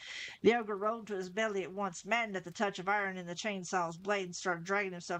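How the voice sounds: Simply a natural reading voice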